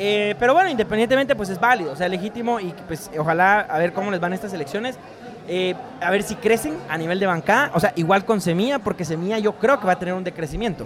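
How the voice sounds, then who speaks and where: Noticeable background noise sits behind the voice. A man speaks very fast with a high pitch and ordinary pitch variation. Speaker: lawyer and podcast co-host. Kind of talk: casual chat. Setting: live in a bar.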